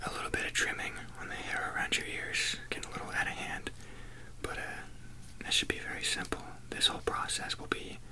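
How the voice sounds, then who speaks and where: A man whispers at a fairly quick pace. His speech has long, frequent pauses. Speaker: ASMR roleplay groomer. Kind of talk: ASMR roleplay personal attention, soft spoken talk to the listener. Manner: soft-spoken, relaxed. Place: home room. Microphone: earbuds.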